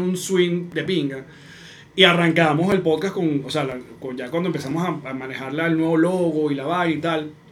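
Speaking fairly quickly in a Venezuelan accent, a man has a high pitch and fairly even intonation, with audible room echo and noticeable background noise. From Venezuela, Maracay. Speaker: comedian and podcaster. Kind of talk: casual chat.

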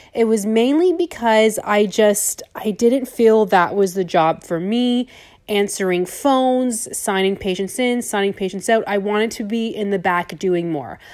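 A plain, everyday voice moves at a fairly slow pace with hardly any pauses and ordinary pitch variation. The recording is very clean, with a silent background. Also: woman, fairly high pitch for a woman. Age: 30s. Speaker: dental hygienist and business owner podcaster. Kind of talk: casual monologue.

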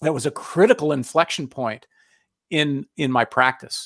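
Recorded very cleanly with a silent background and a dry, close sound with no echo, a man in a plain, everyday voice speaks at a moderate pace and a fairly high pitch. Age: 50s. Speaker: business coach. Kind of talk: interview.

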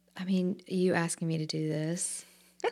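A woman with an Alabama accent. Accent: Southern US (Alabama). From US South, Montgomery, Alabama. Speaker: actress and shop owner. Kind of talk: interview.

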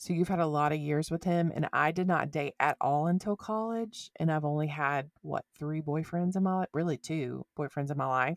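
A woman speaks with an Alabama accent in a very deep, low voice, at a moderate pace with hardly any pauses. Her pitch varies in an ordinary way, and the sound is dry and close with no echo. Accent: Southern US (Alabama). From US South. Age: 20s. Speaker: podcast co-host. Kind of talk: casual chat.

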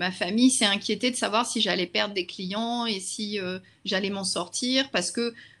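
In a very clean recording with a silent background, a woman with a plain, everyday voice speaks at a fairly slow pace, medium pitch and fairly even intonation. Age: 40s. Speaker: social media consultant and trainer. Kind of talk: interview.

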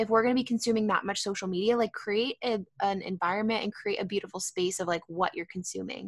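With an American accent, a woman talks at a very fast pace with hardly any pauses, using fairly even intonation at a fairly high pitch. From San Diego, California. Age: 20s. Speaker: food company founder. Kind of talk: casual chat.

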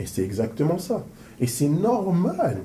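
Speaking at a very slow pace, a man with a fairly high pitch and a dark, mellow tone makes very wide pitch swings amid audible room echo. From Paris suburbs, France. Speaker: interviewer and business coach. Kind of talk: interview. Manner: animated.

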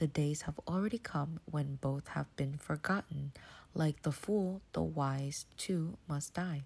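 Quiet and somewhat breathy, a woman speaks at a very slow pace in a very deep, low pitch with ordinary pitch variation and very even loudness, on a very clean recording with a silent background. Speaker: devotional podcast host. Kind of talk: casual solo devotional talk. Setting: bedroom at night, home. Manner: soft-spoken, subdued, not dynamic.

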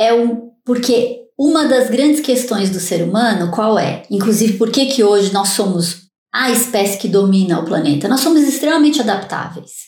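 At a fairly slow pace, a woman with a normal speaking voice talks at a fairly high pitch with lively intonation. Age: 50s. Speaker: neuroscientist. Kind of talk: interview.

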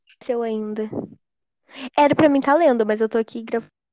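A woman speaks with a dark, mellow tone at a fairly high pitch and a fairly quick pace. Her intonation is fairly even, and the sound is dry and close with no echo. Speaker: podcast guest. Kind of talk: casual chat.

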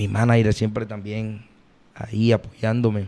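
This man's voice is fairly low-pitched and has a dark, mellow tone, delivered with monotone, flat intonation at a fairly slow pace. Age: 20s. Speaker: vallenato singer. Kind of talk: casual interview.

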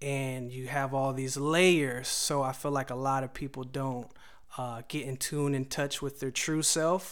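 Slowly, at a fairly slow pace, a man talks in a flat monotone. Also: medium pitch for a man. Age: 30s. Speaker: songwriter and music producer. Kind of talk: casual chat.

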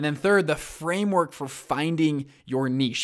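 Recorded very cleanly with a silent background, a man speaks with ordinary pitch variation. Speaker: podcast host, fund manager. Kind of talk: casual monologue. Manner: fast.

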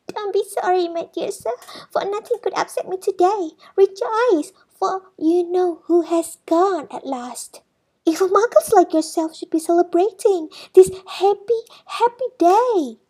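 In a squeaky, put-on character voice, a woman talks at a moderate pace with an extremely high pitch. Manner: gleeful.

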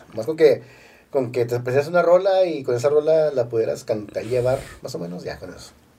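Somewhat breathy and dark, mellow in tone, a man's fairly high voice moves with lively intonation. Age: 40s. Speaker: actor and stand-up comedian. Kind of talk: casual chat.

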